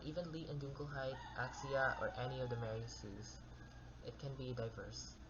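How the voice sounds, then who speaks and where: Someone soft-spoken is heard over noticeable background noise. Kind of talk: card game deck profile talk. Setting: home recording with background noise.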